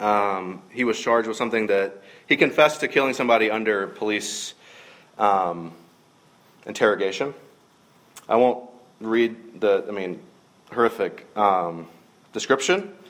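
Speaking at a moderate pace with a Southern US accent, a man at medium pitch uses ordinary pitch variation and takes long, frequent pauses. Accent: Southern US (Georgia). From US South, middle Georgia. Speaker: minister. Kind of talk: sermon.

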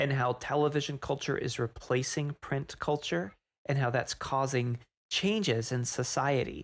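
A man with an ordinary speaking voice, fairly high in pitch, at a moderate pace on a very clean recording with a silent background. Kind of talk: casual chat.

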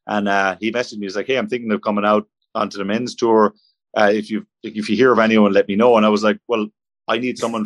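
A man with an Irish accent speaks at a very fast pace in a fairly low, monotone, flat voice, the sound dry and close with no echo over a quiet background. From Ireland. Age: 30s. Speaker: professional golfer. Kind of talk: casual interview. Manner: halting.

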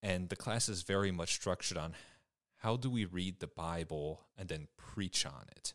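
In a Midwestern American accent, a man with a very deep, low voice talks at a moderate pace with ordinary pitch variation. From Michigan, US. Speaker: vicar, seminary student. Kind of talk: casual interview.

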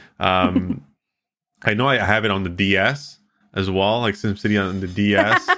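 A man at a fairly slow pace, bright and sharp in tone, with fairly even intonation, on a very clean recording with a silent background. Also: fairly low pitch for a man. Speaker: radio host and streaming company founder. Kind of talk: casual interview.

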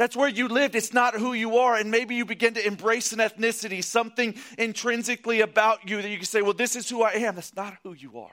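A man speaks in a raised, projected voice, animated and bright with a sharp tone and high pitch. He talks very fast with hardly any pauses and big swings in loudness. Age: 30s. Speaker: pastor. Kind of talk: sermon.

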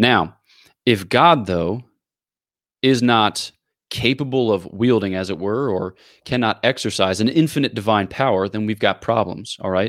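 Delivery comes at a moderate pace with ordinary pitch variation in a plain, everyday voice. The recording is very clean, with a silent background. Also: man, fairly low pitch for a man. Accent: American. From US, Philadelphia area. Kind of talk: explanatory theological interview.

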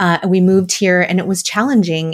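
An unremarkable speaking voice with an American accent and fairly even intonation. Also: woman. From US Midwest, Wisconsin. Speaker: dietitian and mindset coach. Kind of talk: interview.

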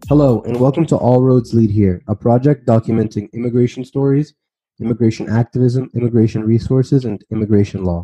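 A man talks at a medium pitch and a fairly quick pace, with fairly even intonation, in a plain, everyday voice. The sound is dry and close with no echo. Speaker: podcast host. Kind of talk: interview.

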